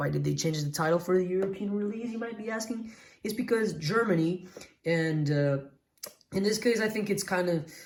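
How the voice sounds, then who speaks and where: Her pitch medium, a woman talks at a fairly quick pace, with audible room echo. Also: ordinary pitch variation. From Portugal. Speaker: retro game collector youtuber. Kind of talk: unboxing video. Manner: excited, exclamatory.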